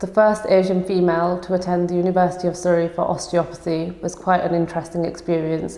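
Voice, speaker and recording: Over noticeable background noise, the speaker talks with a Yorkshire accent in a monotone, flat intonation. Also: woman. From northern England, Huddersfield, Yorkshire. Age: 20s. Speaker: osteopath and business owner. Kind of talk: personal testimony interview.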